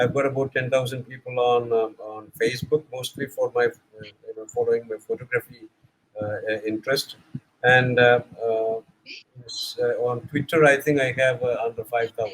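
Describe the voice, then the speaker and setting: A man with a somewhat breathy, medium-pitched voice talks at a moderate pace in a flat monotone. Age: 70s. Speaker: corporate content manager, former English teacher. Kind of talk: casual group discussion. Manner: halting, many fillers.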